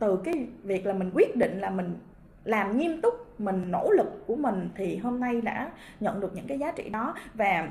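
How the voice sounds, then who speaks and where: Her voice fairly high, a woman speaks at a fairly slow pace with lively intonation. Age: 30s. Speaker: direct sales distributor. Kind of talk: motivational talk; interview answer. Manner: halting, many fillers. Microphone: webcam.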